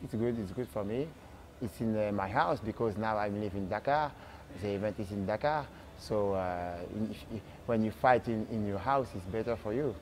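In a French accent, a man talks at a moderate pace with a fairly low pitch. His pitch variation is ordinary, and light background noise can be heard. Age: 30s. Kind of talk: interview. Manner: halting. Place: gym. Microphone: lapel.

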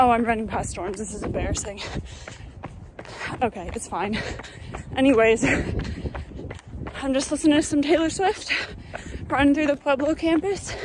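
A high-pitched woman swings her pitch very widely and leaves long, frequent pauses, the sound dry with no echo but carrying noticeable background noise. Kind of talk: casual vlog chat. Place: street. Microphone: phone near.

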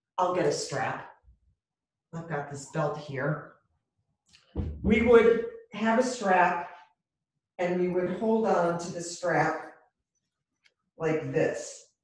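A woman speaks with long, frequent pauses amid audible room echo. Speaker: yoga instructor. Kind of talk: guided chair yoga and breathing instruction. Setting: video call, online class from home. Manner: calm, slow, soothing, with pauses and counted cues; gently encouraging, reassuring and conversational. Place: home room. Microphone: webcam.

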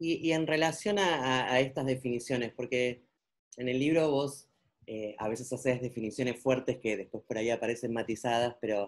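A woman's very deep, low pitch with ordinary pitch variation at a moderate pace. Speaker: interviewer. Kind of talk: interview question. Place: home room. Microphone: webcam.

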